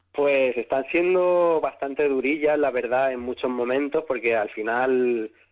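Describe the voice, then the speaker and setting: Speaking at a fairly slow pace with hardly any pauses, a man uses a medium pitch and ordinary pitch variation. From Spain, Catalonia (Sant Boi, Barcelona). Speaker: singer. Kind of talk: interview.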